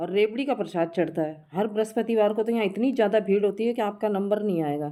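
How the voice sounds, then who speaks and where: At a moderate pace, a woman speaks in a medium pitch with a dark, mellow tone, in a very clean recording with a silent background. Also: ordinary pitch variation. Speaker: village vlogger. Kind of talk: casual vlog narration. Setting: outdoors in village.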